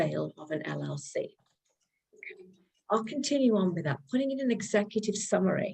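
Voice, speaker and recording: In a British accent, a woman with a dark, mellow, somewhat breathy tone talks at a moderate pace. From United Kingdom. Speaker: real estate lender. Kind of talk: presentation. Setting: video call.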